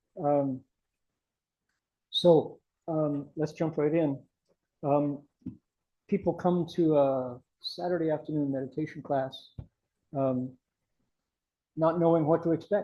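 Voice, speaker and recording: A man with an Ohio accent, fairly high-pitched for a man, at a fairly slow pace with fairly even intonation and long, frequent pauses. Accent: Ohio American. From US Midwest, Columbus Ohio. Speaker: Buddhist monk, meditation teacher. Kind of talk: class introduction and teaching. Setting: meditation class with group.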